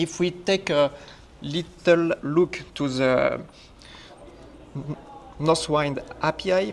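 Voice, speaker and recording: A man speaks very slowly in a fairly high voice, leaving long, frequent pauses. His intonation stays fairly even, and background noise is noticeable. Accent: French. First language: French. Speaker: conference speaker, software developer. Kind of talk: technical presentation.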